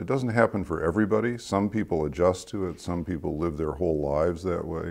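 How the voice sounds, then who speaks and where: This man talks at a very fast pace. His pitch is very deep and low, with ordinary pitch variation. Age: 70s. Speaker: founder and author speaking on inner life. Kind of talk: reflective interview talk. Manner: reflective, with frequent hesitations and repeats.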